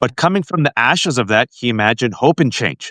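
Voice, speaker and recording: A man speaks at a very fast pace in a bright, sharp tone, his pitch medium. The sound is dry and close with no echo, on a very clean recording with a silent background. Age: 40s. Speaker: political commentator and podcast host. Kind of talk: interview conversation. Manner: animated.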